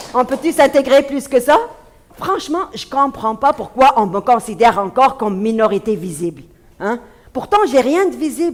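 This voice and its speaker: A woman with an Arabic accent talks at a moderate pace in a high voice that swings very widely in pitch. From Tunisia. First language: Arabic (speaking French). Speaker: comedian. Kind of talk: stand-up; interview. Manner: halting, many fillers.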